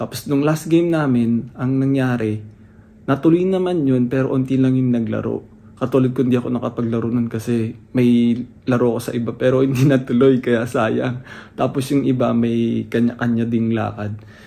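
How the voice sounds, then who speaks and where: A quiet man with a dark, mellow tone, medium pitch, fairly even intonation, and a moderate pace. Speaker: vlogger and amateur basketball player. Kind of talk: casual vlog. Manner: hushed, lowered voice.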